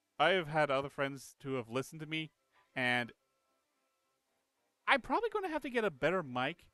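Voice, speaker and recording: Music plays in the background as a man with a fairly high pitch talks at a moderate pace, with a dry, close sound and no echo. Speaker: gaming streamer. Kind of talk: live gameplay stream. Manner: quiet; halting. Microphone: old cheap headset mic, too quiet.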